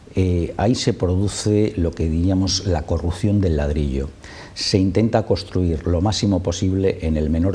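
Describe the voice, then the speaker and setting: With noticeable background noise behind him, a man speaks fairly slowly in a very deep, low voice with ordinary pitch variation. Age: 60s. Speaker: spokesman for affected homeowners' association. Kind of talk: TV interview. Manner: impassioned.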